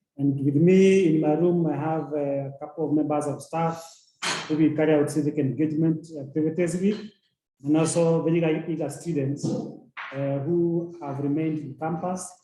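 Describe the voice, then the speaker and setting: This man's voice sits at a fairly high pitch, with monotone, flat intonation. He speaks at a moderate pace, and audible room echo surrounds him. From Kenya. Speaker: university representative. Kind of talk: panel presentation.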